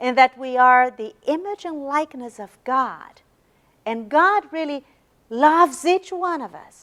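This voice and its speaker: A woman speaks at a high pitch with a Brazilian Portuguese accent, her intonation lively, her pace fairly slow and her loudness swinging widely. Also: dry, close sound with no echo. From Brazil, São Paulo. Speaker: religious lecturer. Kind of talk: lecture. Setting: university meeting room with audience. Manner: halting, repeats words.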